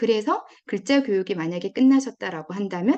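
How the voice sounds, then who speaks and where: At a moderate pace, a woman with a Gyeongsang accent speaks at medium pitch with lively intonation. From Gyeongsang region, South Korea. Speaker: education expert, parenting lecturer. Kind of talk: lecture.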